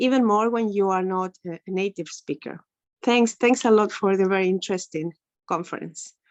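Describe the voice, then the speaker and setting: A woman's medium-pitched voice at a moderate pace, with an Ecuadorian accent. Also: ordinary pitch variation. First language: Spanish. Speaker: English teacher, webinar attendee. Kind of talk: Q&A comment in webinar. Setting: video call, camera off.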